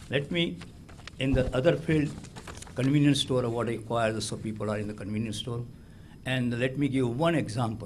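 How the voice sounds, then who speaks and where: A man speaks with an Indian accent, leaving long, frequent pauses. There is audible echo in the room. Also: medium pitch for a man, ordinary pitch variation, moderate pace. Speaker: award recipient, business owner. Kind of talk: acceptance speech. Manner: halting.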